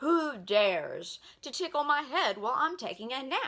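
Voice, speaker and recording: A bellowing woman in a put-on character voice, high-pitched. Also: moderate pace. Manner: roaring, grumbling.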